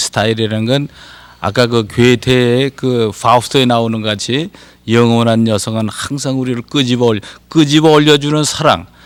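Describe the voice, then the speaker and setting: A normal speaking voice from a man, moderate in pace and medium in pitch. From Korea (Anseong, Gyeonggi). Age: 60s. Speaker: poet and professor. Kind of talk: TV talk show interview.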